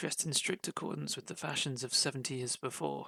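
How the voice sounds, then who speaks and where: Calm in tone, a man with a British accent speaks in a bright, sharp voice, recorded dry and close with no echo. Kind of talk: audiobook reading of a classic short story. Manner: calm, relaxing.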